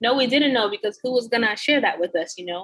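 A woman in an American accent speaks with very wide pitch swings. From United States, Haitian background. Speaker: travel blogger. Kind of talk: casual interview. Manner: animated, laughs often.

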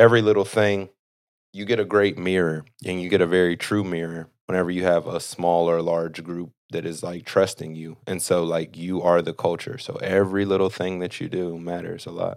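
Very deep, low male speech with fairly level intonation. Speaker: former pro basketball player and fitness trainer. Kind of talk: casual interview. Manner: slow, thoughtful.

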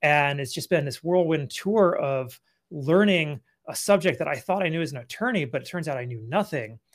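In a very clean recording with a silent background, a man with an American accent and an ordinary speaking voice talks at a fairly high pitch and moderate pace, with lively intonation and big swings in loudness. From California. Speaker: business consultant, former attorney. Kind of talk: interview.

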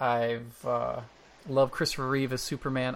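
An ordinary speaking voice from a man at a medium pitch with fairly even intonation, on a very clean recording with a silent background. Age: 50. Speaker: podcast co-host. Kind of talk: casual chat.

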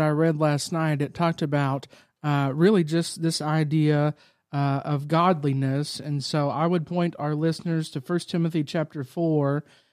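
A man talks in a normal speaking voice with fairly even intonation. The recording is very clean, and the background is silent. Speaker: church staff podcast co-host. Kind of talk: casual chat.

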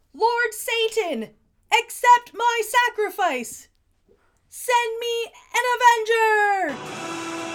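A woman puts on a character voice at an extremely high pitch, with a dramatic, theatrical tone. She speaks at a very slow pace with long, frequent pauses.

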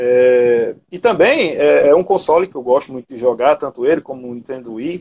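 In an unremarkable speaking voice, a man talks at a moderate pace and medium pitch with ordinary pitch variation, big swings in loudness, and hardly any pauses. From Paraíba, Brazil (Cabedelo). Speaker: retro gaming content creator. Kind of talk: casual interview chat.

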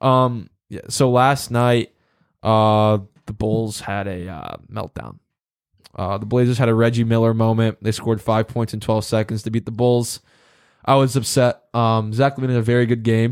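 In a very clean recording with a silent background, a man talks at a moderate pace and medium pitch in a flat monotone. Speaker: sports podcast host. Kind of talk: casual banter.

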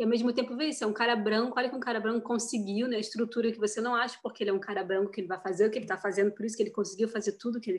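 At a very fast pace with hardly any pauses, a woman speaks in a fairly high voice with fairly even intonation. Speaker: actress. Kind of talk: interview.

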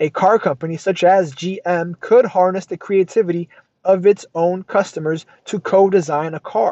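At a moderate pace, a man talks in a high voice with fairly even intonation. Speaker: podcast host reading a business book aloud. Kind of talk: reading aloud with commentary. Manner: self-correcting, repeats phrases.

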